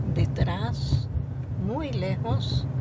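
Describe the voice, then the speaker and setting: Loud background noise nearly competes with a woman's voice. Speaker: grandmotherly poetry reciter. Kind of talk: poetry reading. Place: car.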